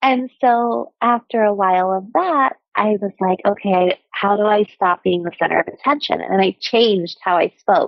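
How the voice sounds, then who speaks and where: Speaking with an American accent, a woman keeps a moderate pace with hardly any pauses. Her voice sits at medium pitch with ordinary variation. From childhood abroad and in US (Scotland, Venezuela, Saudi Arabia, Oklahoma). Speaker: former nurse turned coach. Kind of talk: podcast interview.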